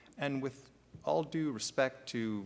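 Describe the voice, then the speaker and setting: On a very clean recording with a silent background, a man speaks with a slight French Canadian accent and ordinary pitch variation. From Quebec / French Canada. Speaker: workers' compensation executive, panelist. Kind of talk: conference panel talk. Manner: fast.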